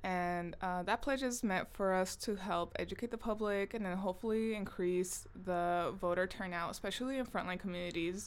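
Here a woman has a plain, everyday voice at a medium pitch and moderate pace. Her pitch varies in an ordinary way, and the recording is very clean with a silent background. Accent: American. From Southern California (Long Beach/Compton). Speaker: podcast co-host, artist. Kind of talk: casual chat.

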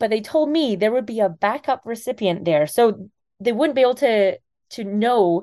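Against a quiet background, a woman with a slight Scottish accent and a dark, mellow tone speaks at a moderate pace with lively intonation. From Scotland. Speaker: kidney donor. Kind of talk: interview.

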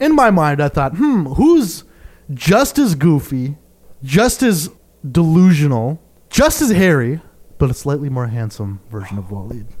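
A man speaks in a plain, everyday voice at a fairly high pitch. His intonation is lively. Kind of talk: casual chat.

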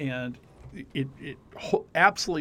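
An ordinary speaking voice with an American accent. The intonation is lively. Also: man. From Arizona (Scottsdale). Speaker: university lecturer in communications and digital media. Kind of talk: casual interview.

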